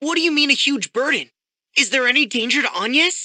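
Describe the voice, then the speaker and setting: A put-on character voice pitched high rattles along at a fairly quick pace. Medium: video game. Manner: earnest, concerned.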